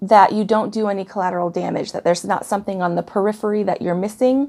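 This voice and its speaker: A woman speaks in a dark, mellow tone at a medium pitch. Her pitch varies in an ordinary way, and her pace is fairly quick. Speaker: tarot reader. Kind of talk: tarot reading monologue. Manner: halting, with fillers.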